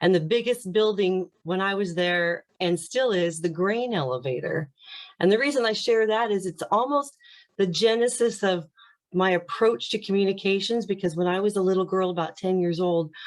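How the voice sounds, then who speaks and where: With an American accent, a woman speaks in a normal speaking voice at a medium pitch. Her pace is moderate, and her pitch varies in an ordinary way. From US Midwest, small-town Indiana. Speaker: communications coach and former TV anchor. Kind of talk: interview.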